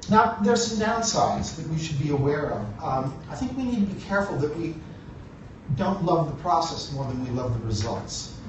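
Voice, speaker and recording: Amid noticeable background noise and audible room echo, a man with an American accent speaks at a moderate pace, his fairly high voice moving through very wide pitch swings. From United States. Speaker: conference keynote speaker. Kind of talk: keynote speech. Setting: stage with audience.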